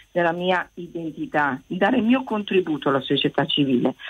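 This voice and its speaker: A woman with a fairly low pitch talks at a fairly quick pace with lively intonation in a plain, everyday voice. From Italy. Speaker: teacher calling in. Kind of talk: radio phone-in call.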